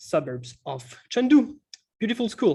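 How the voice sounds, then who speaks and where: With a French accent, the man talks. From France, Montpellier. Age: 30s. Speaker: economics teacher. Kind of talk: online webinar workshop. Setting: video call webinar. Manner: slow; halting, many fillers.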